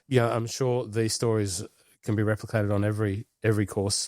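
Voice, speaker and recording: A man with an Australian accent speaks at a fairly quick pace in a fairly low, dark, mellow voice with monotone, flat intonation. The recording is very clean with a silent background, and the sound is dry and close with no echo. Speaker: golf podcast co-host. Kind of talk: casual chat.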